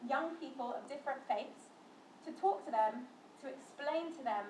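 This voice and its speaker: Amid noticeable background noise and audible room echo, a woman talks at a moderate pace in a high voice with ordinary pitch variation. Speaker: interfaith educator. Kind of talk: talk to students.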